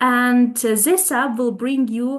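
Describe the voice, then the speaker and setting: Her pitch is high for a woman. The intonation stays fairly even. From Ukraine. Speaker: youth ambassador and policy expert. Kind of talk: webinar presentation. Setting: video call.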